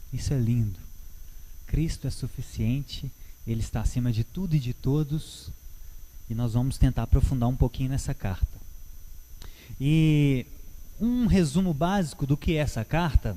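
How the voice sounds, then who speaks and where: Using lively intonation and a medium pitch, a man talks at a moderate pace with long, frequent pauses. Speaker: church Bible teacher. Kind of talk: Bible teaching talk. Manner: halting, with many fillers.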